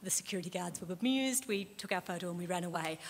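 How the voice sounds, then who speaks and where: Somewhat breathy, a woman with an Australian accent talks at a very fast pace with ordinary pitch variation. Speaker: librarian and lecturer, conference speaker. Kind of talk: conference talk.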